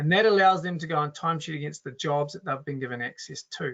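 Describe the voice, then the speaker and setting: A man with a New Zealand accent, fairly high in pitch, at a moderate pace. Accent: Kiwi. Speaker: software company co-founder presenting a webinar. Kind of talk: webinar product demo. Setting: online webinar. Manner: casual, with filler words and restarts.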